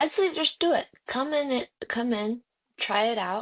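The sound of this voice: A woman's fairly high voice at a fairly slow pace, with lively intonation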